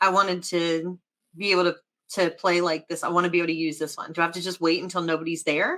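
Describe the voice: Pitched fairly low, a woman talks fast in a bright, sharp tone with little pitch movement.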